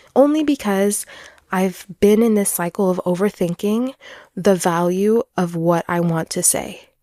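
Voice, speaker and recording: A woman's fairly slow speech at a medium pitch, dark, mellow in tone, with ordinary pitch variation and a dry, close sound with no echo. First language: French. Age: 20s. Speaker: podcaster. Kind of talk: personal podcast monologue.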